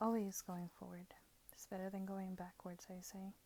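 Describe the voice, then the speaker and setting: There is a relaxed tone to this woman's voice, which sits at a medium pitch and moves at a moderate pace. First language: not English. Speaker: tarot and oracle card reader. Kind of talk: product review with card walkthrough. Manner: relaxed, musing.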